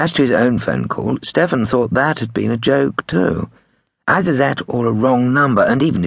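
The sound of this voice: Quiet background behind an unforced read-aloud voice, pitch varying in an ordinary way.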